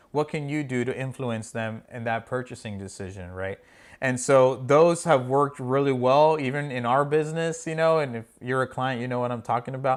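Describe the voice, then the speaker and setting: A man at a medium pitch with an animated tone and ordinary pitch variation, on a very clean recording with a silent background. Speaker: marketing podcast host. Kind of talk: casual podcast discussion. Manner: fast.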